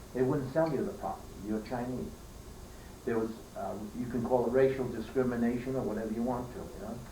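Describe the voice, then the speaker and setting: A man with an American accent speaks at medium pitch with fairly even intonation and long, frequent pauses. Audible room echo and noticeable background noise surround him. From New York, Queens. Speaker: elderly relative telling family history. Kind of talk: family oral history interview. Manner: halting.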